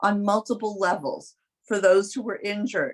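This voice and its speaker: This speaker is a woman. She talks with a New York accent. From New York City. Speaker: competition judge, lawyer. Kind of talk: spoken feedback to student teams.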